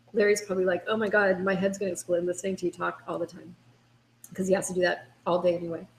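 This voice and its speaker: Talking at a very fast pace, a woman with a medium-pitched voice shows vocal fry. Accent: American. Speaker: dating coach. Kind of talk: webinar. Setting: video call. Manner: animated.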